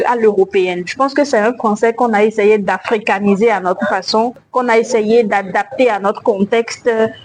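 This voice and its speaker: Against noticeable background noise, a woman talks at a fairly slow pace and a fairly high pitch with ordinary pitch variation. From Benin. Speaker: slam poet. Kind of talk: interview.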